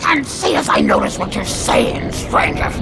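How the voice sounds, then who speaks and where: Over loud background noise, a put-on character voice moves at a moderate pace. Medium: machinima.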